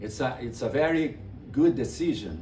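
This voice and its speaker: A man speaks with a Brazilian accent and vocal fry. Audible echo fills the room. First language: Portuguese. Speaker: music teacher and publisher. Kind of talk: online class introduction. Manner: halting, repeats words.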